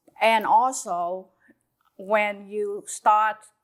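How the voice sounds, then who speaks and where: The pitch is medium. The speaker is a woman. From Vietnam, Saigon. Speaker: small business owner, mother of host. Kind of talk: casual interview. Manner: halting.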